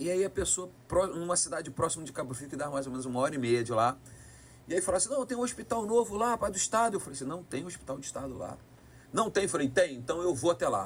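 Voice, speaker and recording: This man talks at a very fast pace, his high pitch moving in very wide swings. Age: 50s. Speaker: politician, retired military police officer. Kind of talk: podcast interview, storytelling. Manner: animated.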